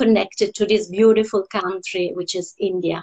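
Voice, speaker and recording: A woman speaks with an Italian accent at a moderate pace. Her pitch is medium and her intonation fairly even. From Italy, Rome. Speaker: opera singer. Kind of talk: interview. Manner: hesitant, many fillers.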